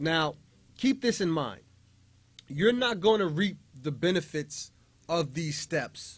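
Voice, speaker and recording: A man with a fairly high pitch and an animated tone, a fairly slow pace, ordinary pitch variation, on a very clean recording with a silent background. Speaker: radio show host. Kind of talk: motivational talk.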